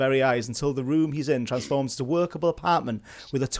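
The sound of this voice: The reading voice is unforced. Pitch shifts by an ordinary amount.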